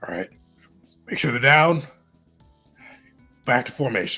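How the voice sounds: A man puts on a gruff, raspy character voice at a medium pitch, with faint music playing in the background. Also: moderate pace.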